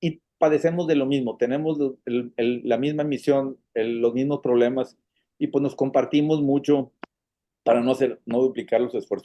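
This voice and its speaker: A man with a Monterrey accent speaks at a moderate pace. His pitch is fairly high and his intonation fairly even. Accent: northern Mexican (Monterrey). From Monterrey, northern Mexico. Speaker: foundation president, patient advocate. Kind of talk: casual interview conversation. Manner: hesitant, many fillers and repetitions.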